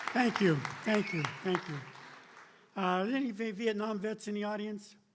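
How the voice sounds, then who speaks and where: A man speaks at a moderate pace in a high pitch, with audible room echo and crowd noise in the background. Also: ordinary pitch variation. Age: 70s. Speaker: retired army general. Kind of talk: town hall speech. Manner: halting.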